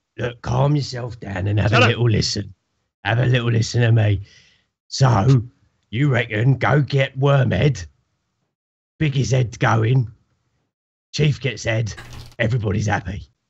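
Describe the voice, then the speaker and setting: A man puts on a raspy character voice at medium pitch, moving at a moderate pace with long, frequent pauses. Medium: actual play.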